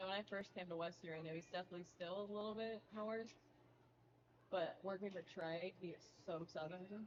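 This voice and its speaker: Using an American accent, a woman talks at a fairly quick pace and a medium pitch with fairly even intonation. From New Jersey. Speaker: sports marketing staffer. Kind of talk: casual chat.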